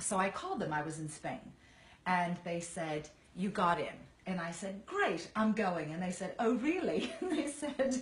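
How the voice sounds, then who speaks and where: Noticeable background noise surrounds a woman speaking at a medium pitch in an American accent. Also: lively intonation, fairly slow pace. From Virginia, US. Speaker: actress. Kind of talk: casual chat.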